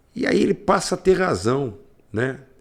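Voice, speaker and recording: A man's voice with very wide pitch swings. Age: 60s. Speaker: radio host. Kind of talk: commentary. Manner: halting.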